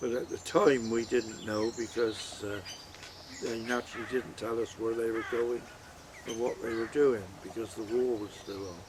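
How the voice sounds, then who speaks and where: Over noticeable background noise, a man talks in a flat monotone with a rural West Country accent. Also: medium pitch for a man, moderate pace. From Heddington, Wiltshire, England. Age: 80s+. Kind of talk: interview answer.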